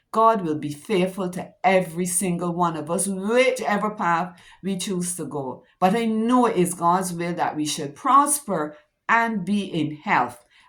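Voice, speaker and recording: A woman with a medium pitch talks at a fairly slow pace with lively intonation, and the room echo is audible. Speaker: teacher giving devotional talks. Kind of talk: devotional talk.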